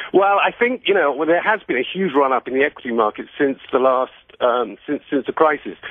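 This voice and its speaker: A man with a British accent and lively intonation. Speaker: finance author. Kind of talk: radio interview. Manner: halting, many repetitions.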